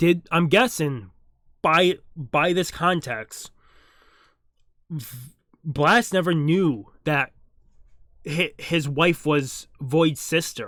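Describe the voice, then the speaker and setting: Very slowly and with long, frequent pauses, a man speaks at a fairly high pitch with ordinary pitch variation on a very clean recording with a silent background. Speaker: manga reaction youtuber. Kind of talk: casual reaction commentary.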